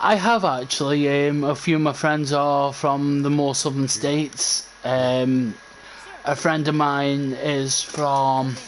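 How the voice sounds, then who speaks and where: Over noticeable background noise, a man with an English accent speaks very slowly at a fairly high pitch, with very even loudness and fairly even intonation. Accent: English regional accent, at times quite harsh. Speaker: gaming streamer. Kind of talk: live gameplay commentary. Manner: casual, halting with fillers.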